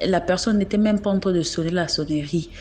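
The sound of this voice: Her tone slightly mellow, a woman speaks in a fairly low voice with ordinary pitch variation. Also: fairly quick pace.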